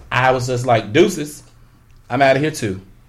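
A man with an American accent talks in a somewhat breathy voice. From Chicago. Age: 30s. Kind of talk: casual chat. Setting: studio.

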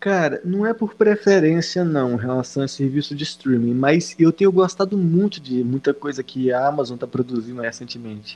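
A man with a normal speaking voice and fairly high pitch speaks at a moderate pace with lively intonation and hardly any pauses. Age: 20s. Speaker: website writer. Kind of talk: casual chat.

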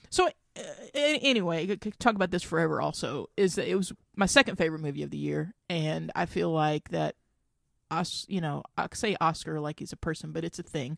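This woman's speech comes fairly quickly, and the background is quiet. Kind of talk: angry rant about award snubs. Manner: indignant, heated, fast, sweary; exasperated, ranting.

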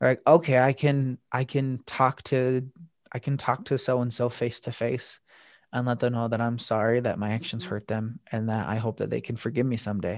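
A man's plain, everyday voice with an American accent, medium pitch and moderate pace, in a very clean recording with a silent background and a dry, close sound with no echo. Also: fairly even intonation. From Utah, small town. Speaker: anti-bullying speaker. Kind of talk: interview.

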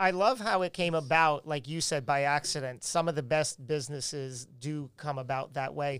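At a moderate pace and with hardly any pauses, a man with an American accent uses a normal speaking voice, fairly high in pitch with ordinary pitch variation, on a very clean recording with a silent background. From New York. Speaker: podcast co-host. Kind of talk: casual chat.

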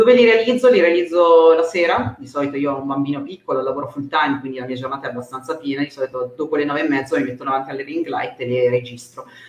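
A woman with a very deep, low pitch and ordinary pitch variation talks at a very fast pace amid noticeable background noise. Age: 40s. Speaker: career mentor. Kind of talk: interview.

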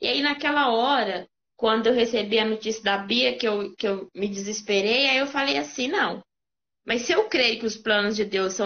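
A woman with an ordinary speaking voice talks at a fairly high pitch, a moderate pace and ordinary pitch variation. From Brazil, Minas Gerais interior (Caeté). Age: 20s. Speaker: guest sharing life testimony. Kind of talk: testimony.

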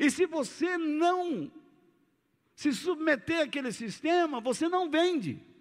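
Over a silent background in a very clean recording, a man with an extremely high voice speaks very slowly, with ordinary pitch variation and very even loudness. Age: 60s. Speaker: pastor. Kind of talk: sermon.

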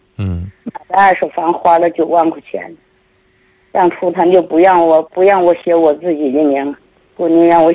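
A woman's fairly low voice with a dark, mellow tone, fairly even intonation and a moderate pace. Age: 70s. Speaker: elderly caller. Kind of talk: phone-in personal story. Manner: halting, repetitive.

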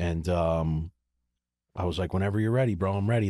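A man's very deep, low voice with an American accent, a dark, mellow tone and fairly even intonation, in a dry, close sound with no echo. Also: very clean recording, silent background. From Baltimore, Maryland. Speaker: chef. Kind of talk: casual chat.

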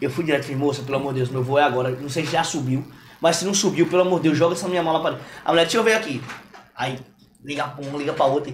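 Through audible room echo, a man with a fairly high pitch talks at a very fast pace. His pitch varies in an ordinary way. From João Pessoa, Paraíba, Brazil. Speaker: comedian and influencer. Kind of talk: casual chat.

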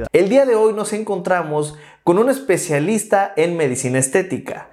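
Amid noticeable background noise, a man speaks at a high pitch. His pitch swings very widely at a moderate pace. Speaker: podcast host. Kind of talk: interview.

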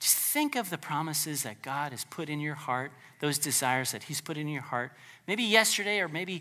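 Over a silent background in a very clean recording, a man with a fairly high pitch speaks at a moderate pace, his lively intonation carrying a tone that is both warm and bright, sharp. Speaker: preacher. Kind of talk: sermon. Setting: church. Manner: animated, forceful, preacher in full flow, urgent and pleading; conversational, warm, with light humor.

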